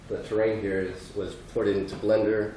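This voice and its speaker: Over audible room echo, a man with an American accent and a fairly low voice talks at a moderate pace in a flat monotone. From Texas. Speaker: artist and coder. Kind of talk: conference presentation. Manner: halting, many fillers.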